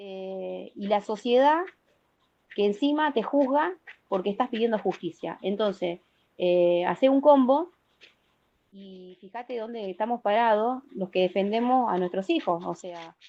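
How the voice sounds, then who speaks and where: Speaking at a fairly slow pace in a Rioplatense accent, a woman with a medium pitch uses lively intonation and big swings in loudness. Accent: Argentine Rioplatense Spanish. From Argentina, Santa Fe province. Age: 40s. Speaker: protective mother. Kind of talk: interview testimony. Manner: emphatic.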